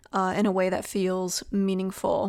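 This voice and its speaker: Speaking at a fairly slow pace, a woman has a medium pitch. The recording is very clean, with a silent background. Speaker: podcast host and writer. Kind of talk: solo podcast monologue. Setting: at her desk, home recording.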